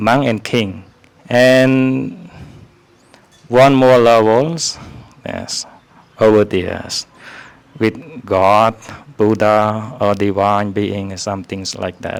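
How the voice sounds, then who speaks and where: The speaker has a Khmer accent and talks at a very slow pace. Long pauses come often. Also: man, fairly low pitch for a man, ordinary pitch variation. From Cambodia. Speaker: Buddhist monk teaching visitors. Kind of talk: informal talk to visitors. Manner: hesitant, many fillers.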